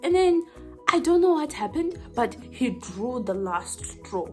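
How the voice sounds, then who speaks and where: Over music in the background, a woman speaks at a moderate pace in an animated tone. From Zimbabwe. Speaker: YouTuber. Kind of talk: storytime, casual talk to camera. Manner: chatty, animated.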